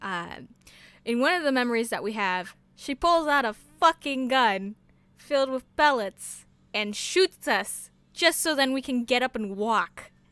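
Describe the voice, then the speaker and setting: A woman speaks loudly at a fairly slow pace, high-pitched with a bright, sharp tone and lively intonation, in dry, close sound with no echo on a very clean recording with a silent background. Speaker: streamer. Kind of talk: casual chat. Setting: live stream.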